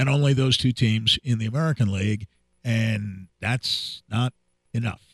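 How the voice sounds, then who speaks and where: A man's medium-pitched, somewhat breathy voice with fairly even intonation, in a dry, close sound with no echo. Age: 60s. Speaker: sports radio host. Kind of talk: casual chat.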